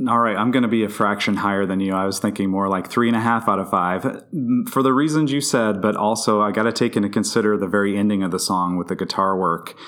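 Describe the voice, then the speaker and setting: In an American accent, a man with a fairly low pitch talks at a very fast pace with hardly any pauses and ordinary pitch variation. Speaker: podcast guest. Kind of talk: casual chat.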